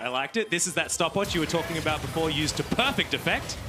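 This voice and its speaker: With an Australian accent, a man talks at a very fast pace over noticeable background noise. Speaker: esports commentator. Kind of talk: live commentary.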